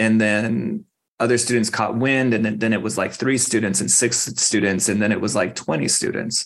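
An unremarkable speaking voice with an American accent moves at a moderate pace, its loudness very even. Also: man, medium pitch for a man. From Arizona, Phoenix. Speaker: school garden program director. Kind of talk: interview.

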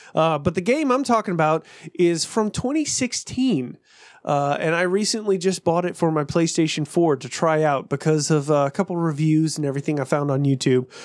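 In a very clean recording with a silent background, a man talks fairly quickly in an ordinary speaking voice, fairly high in pitch with ordinary pitch variation. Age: 30s. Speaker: podcast co-host. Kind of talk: casual chat.

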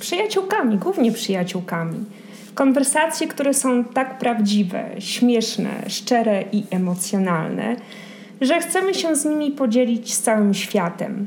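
A woman's very slow, lively-intoned speech over noticeable background noise. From Poland. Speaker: podcast host. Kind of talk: scripted narration; casual chat.

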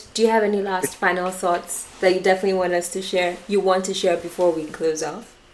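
Over noticeable background noise, a woman speaks at medium pitch in monotone, flat intonation, at a fairly quick pace with hardly any pauses. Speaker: podcast co-host. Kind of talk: casual chat.

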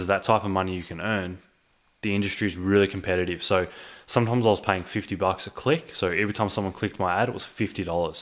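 In a very clean recording with a silent background, a man with an Australian accent and a fairly low pitch speaks at a very fast pace with ordinary pitch variation. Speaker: online entrepreneur / vlogger. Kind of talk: personal storytelling monologue to camera. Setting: home recording with microphone. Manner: casual, filler-heavy (um, uh).

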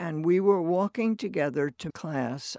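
A woman with an American accent at a very slow pace, fairly low in pitch, with lively intonation and a dry, close sound with no echo. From US Northeast, New Jersey. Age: 80s. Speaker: college alumna. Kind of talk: oral history conversation.

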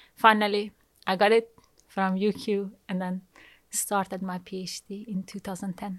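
In a Persian accent, a woman talks at a moderate pace with monotone, flat intonation and big swings in loudness, on a very clean recording with a silent background. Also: medium pitch for a woman. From Iran. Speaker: materials scientist. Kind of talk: interview.

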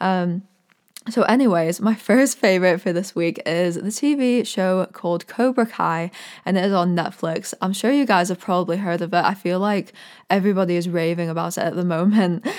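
Her pitch medium with ordinary variation, a woman speaks at a moderate pace. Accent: American. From Orlando, Florida, US. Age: 20s. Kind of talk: casual solo podcast, faith talk. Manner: enthusiastic, warm, animated.

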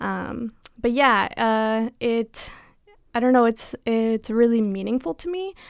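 In an unremarkable speaking voice, a woman with a fairly high pitch and ordinary pitch variation speaks at a moderate pace on a very clean recording with a silent background. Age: 20s. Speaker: university student. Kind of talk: casual chat.

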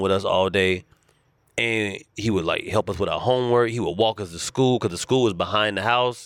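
A man with an American accent and an unremarkable speaking voice, medium in pitch, at a moderate pace with fairly even intonation, on a very clean recording with a silent background. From US South, Charlotte, North Carolina. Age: 40s. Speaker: comedian. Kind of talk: casual chat.

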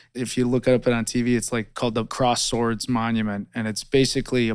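Delivered at a very fast pace in an American accent, the speech has monotone, flat intonation. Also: man, very clean recording, silent background. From US Midwest, rural northern Illinois. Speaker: war veteran. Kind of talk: oral history testimony.

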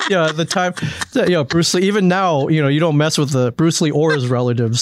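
With noticeable background noise behind him, a man with an American accent speaks with ordinary pitch variation. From US Midwest, Michigan. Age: 40s. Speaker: podcast studio owner. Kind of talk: casual chat. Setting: studio.

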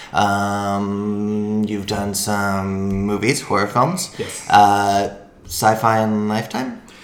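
Very slow yet with hardly any pauses, a man with an American accent speaks in a fairly low, monotone, flat voice, with audible room echo. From Washington State. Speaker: podcast host. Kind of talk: casual chat.

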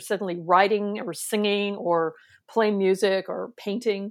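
Speaking at a moderate pace with an American accent, the voice comes through on a very clean recording with a silent background. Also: woman. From US West Coast, San Francisco Bay Area. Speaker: clinical psychologist. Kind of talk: interview.

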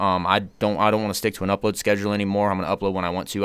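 Speech at a very fast pace comes through in a very clean recording with a silent background. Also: man. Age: 20s. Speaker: fitness YouTuber and rapper. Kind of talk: casual chat.

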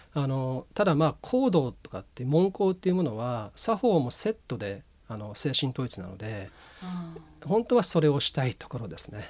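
A man with a medium-pitched voice talks at a moderate pace, his pitch swinging very widely and his loudness rising and falling in big swings. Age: 40s. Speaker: incense ceremony school heir. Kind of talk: radio interview.

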